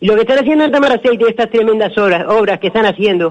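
A man speaks in a high pitch. His pitch varies in an ordinary way. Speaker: caller. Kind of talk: phone-in comment. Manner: halting.

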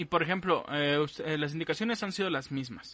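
A man talks at a fairly quick pace in an ordinary speaking voice. His pitch is fairly high with ordinary pitch variation. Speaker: podcast host. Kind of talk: casual chat. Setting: remote live stream from home.

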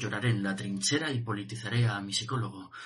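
Intense and passionate, a man talks very fast at a medium pitch with ordinary variation. Noticeable background noise is present. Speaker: slam poet performing. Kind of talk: slam poetry performance, dense verse. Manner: intense, passionate, dramatic delivery.

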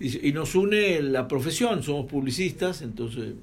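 Audible room echo surrounds a man who speaks at a fairly slow pace with lively intonation. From Argentina, Buenos Aires. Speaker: radio host. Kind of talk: casual chat.

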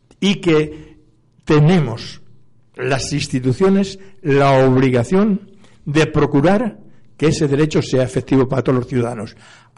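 Somewhat breathy and fairly high-pitched, a man talks at a fairly slow pace with ordinary pitch variation and long, frequent pauses. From Spain. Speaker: debate moderator on community radio, former politician. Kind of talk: radio panel debate.

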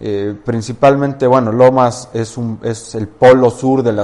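A man talks at a fairly slow pace in a monotone, flat intonation. His pitch is medium and his tone dark and mellow. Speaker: real estate firm co-founder. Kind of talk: interview.

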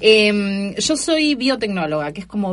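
A woman with a Buenos Aires accent speaks at medium pitch, somewhat breathy, her pitch swinging very widely. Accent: Rioplatense Spanish (Buenos Aires). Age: 40s. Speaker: stand-up comedian and scientist. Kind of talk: casual interview chat.

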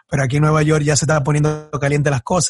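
A man talks in a somewhat breathy voice. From born in Ecuador, raised in the US from age 8 in a Dominican community. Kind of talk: casual interview chat. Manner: halting, with frequent repetitions.

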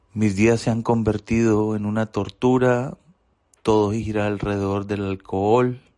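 A man talks at a fairly slow pace with a fairly low pitch and a dark, mellow tone. His intonation is monotone and flat. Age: 40s. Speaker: recovering alcoholic. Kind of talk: testimony.

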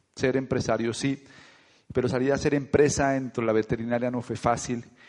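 Very fast and animated, a man talks at a medium pitch. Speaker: network marketing leader. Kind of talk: motivational talk.

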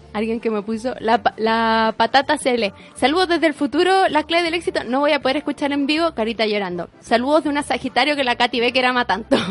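Her pitch high and her intonation lively, a woman talks at a very fast pace. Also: hardly any pauses. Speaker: podcast host. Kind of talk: casual chat.

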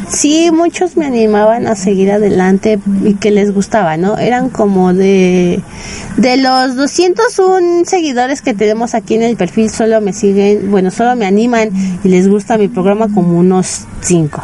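Lively intonation carries at a fairly slow pace with very even loudness, over noticeable background noise. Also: woman, fairly high pitch for a woman. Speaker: internet radio host for anime. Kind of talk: casual radio monologue. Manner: normally loud and shouty; quieter than usual, saving voice.

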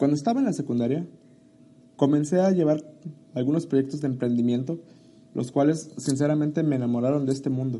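At a fairly quick pace broken by long, frequent pauses, a man with a fairly high voice speaks in a dark, mellow tone with ordinary pitch variation. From Mexico, Chiapas (Tuxtla Gutiérrez). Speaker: podcast host, marketing student and entrepreneur. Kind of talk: solo podcast introduction.

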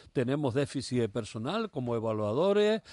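Dry and close with no echo, a man's medium-pitched voice carries a dark, mellow tone at a fairly quick pace. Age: 70s. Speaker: politician, retired teacher. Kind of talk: radio interview. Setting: radio studio.

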